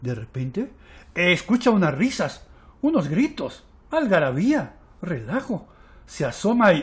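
A man's high-pitched, animated, playful delivery with very wide pitch swings, a fairly slow pace and long, frequent pauses, on a very clean recording with a silent background. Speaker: storyteller. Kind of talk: bedtime story telling for young children, with a hushed, intimate tale-spinner's cadence. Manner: warm, coaxing, addressing children directly with questions.

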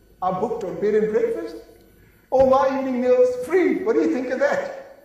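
Strong room echo surrounds a man speaking at a fairly quick pace in an enthusiastic tone with very wide pitch swings. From South Africa. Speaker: sales and marketing speaker. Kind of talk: conference keynote speech. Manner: lively, enthusiastic, humorous. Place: stage.

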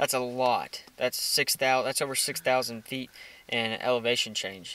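Bright and sharp in tone, a man talks with a Texan accent. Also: dry sound with no echo. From Texas. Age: 20s. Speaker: outdoor hunting vlogger; hunting vlogger. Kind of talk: casual chat; casual vlog chat. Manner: filler-heavy. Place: car. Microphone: phone near.

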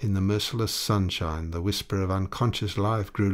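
This is a natural reading voice. The words are read out in it.

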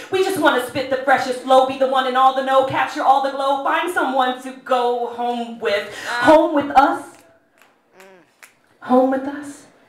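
A woman's high-pitched voice at a fairly slow pace, with fairly even intonation and audible room echo. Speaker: spoken word poet. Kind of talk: live poetry performance. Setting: live venue. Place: stage. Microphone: camera far.

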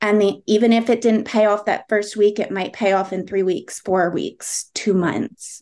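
A woman speaks at a medium pitch with ordinary pitch variation. She has an ordinary speaking voice and a moderate pace. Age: middle-aged. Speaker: part-time insurance agent and teacher. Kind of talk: interview. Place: home room. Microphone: video call.

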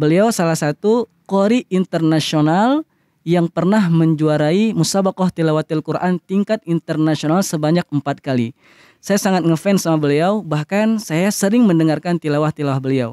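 A man with a high voice and a dark, mellow tone talks at a moderate pace, with ordinary pitch variation and very even loudness. The background is quiet and the sound dry, with no echo. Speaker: Quran recitation teacher. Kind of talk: tutorial. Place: garden. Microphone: studio mic.

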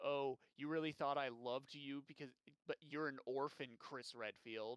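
A man speaks in a put-on character voice, pitched fairly high. His pace is moderate. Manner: taunting, sneering.

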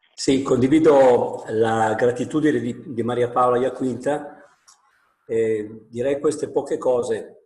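The man talks at a very slow pace with fairly even intonation. Audible room echo surrounds his voice. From Piedmont, Italy. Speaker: national president of school principals' association; panelist. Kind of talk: webinar talk. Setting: video call from home. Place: home room. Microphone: earbuds.

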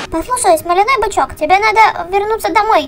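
An extremely high-pitched, cartoonish character voice moves at a fairly quick pace. Clear background noise sits behind it. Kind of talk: comic overacting. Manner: urgent, persuasive.

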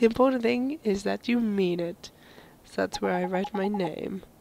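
A woman at medium pitch with very wide pitch swings, heard over noticeable background noise. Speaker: gaming video host. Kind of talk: let's play commentary reading subtitles aloud.

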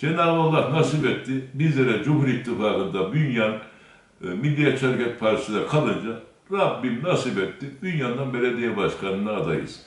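A man speaks at a moderate pace with lively intonation. There is audible room echo. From Turkey, Kayseri (Bünyan); Turkey. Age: 60s. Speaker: mayoral candidate; candidate. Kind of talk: interview testimony. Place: office.

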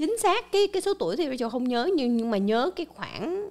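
Her pitch swings very widely as the woman speaks. The background is quiet. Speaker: channel host presenting news and explainers. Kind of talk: scripted-style monologue explainer. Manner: formal, polite address to viewers. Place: studio. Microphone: studio mic.

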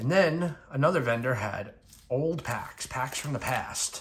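A man speaks fairly slowly while light background noise sits behind him. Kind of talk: casual vlog chat. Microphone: phone near.

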